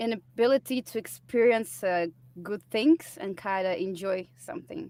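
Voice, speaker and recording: Lively intonation and a dark, mellow tone mark this speaker, who talks at a moderate pace with a non-native accent. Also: woman, medium pitch for a woman. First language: not English. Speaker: musician. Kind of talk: casual interview.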